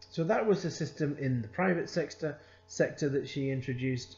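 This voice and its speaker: Somewhat breathy, a man speaks with a Scottish accent. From Scotland. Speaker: accounting consultant and lecturer. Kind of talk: lecture. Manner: conversational, with frequent hesitations.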